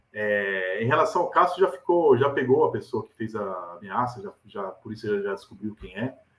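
At a moderate pace and with hardly any pauses, a man speaks at a medium pitch, his voice making very wide pitch swings and big swings in loudness. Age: 40s. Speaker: football journalist and pundit. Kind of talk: casual chat. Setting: video call. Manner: animated.

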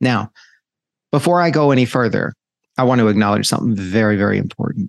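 A man speaks at a very fast pace with lively intonation. The sound is dry and close, without echo. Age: 50s. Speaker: podcast host. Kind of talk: solo reflective monologue. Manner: casual with frequent fillers.

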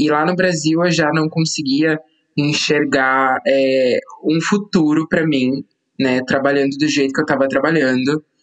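A man talks with ordinary pitch variation. He has an unremarkable speaking voice. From São Paulo state, Brazil (São José dos Campos). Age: 20s. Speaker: content creator. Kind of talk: casual chat.

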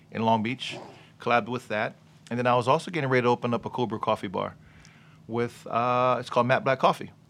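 The recording is very clean with a silent background. A man of medium pitch talks at a very fast pace with fairly even intonation. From Los Angeles, California (Gardena). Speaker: entrepreneur. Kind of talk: casual chat.

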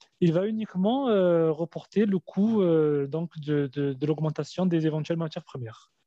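This man has a high-pitched voice with ordinary pitch variation. He speaks at a fairly slow pace. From Algeria, raised in France. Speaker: industrial business owner. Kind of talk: interview.

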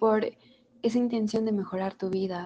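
Her tone is dark and mellow, and her pitch is fairly high for a woman. She keeps her intonation fairly even. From Mexico. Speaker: podcast host. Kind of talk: interview.

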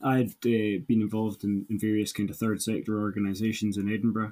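The pitch of this man's voice sits fairly low. It has a dark, mellow tone. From Caithness, far north Scotland. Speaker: mental health charity worker. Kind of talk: casual interview conversation.

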